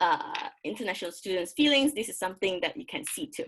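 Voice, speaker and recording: A woman speaks with a Malaysian accent and a medium pitch. Her voice shows vocal fry and very wide pitch swings. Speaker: graduate student presenter, English teacher. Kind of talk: academic presentation. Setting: video call. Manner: halting.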